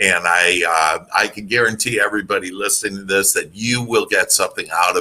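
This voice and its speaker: A man talks with a Wisconsin accent. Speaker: motivational speaker and author. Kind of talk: podcast interview. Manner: halting, many fillers.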